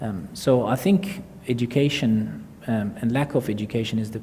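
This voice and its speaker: Here a man talks at a medium pitch with an Arabic accent. His intonation is lively. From Iraq. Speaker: surgeon and author. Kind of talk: audience Q&A at book launch. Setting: stage with audience. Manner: halting, many fillers.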